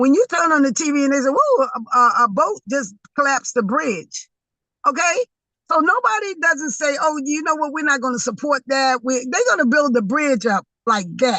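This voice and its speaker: A woman speaks in a high, bright, sharp voice with an American accent, raised and projected. Her tone is animated and her intonation lively, with a dry, close sound and no echo. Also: moderate pace. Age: 60s. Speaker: community advocate and venue owner. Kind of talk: interview discussion.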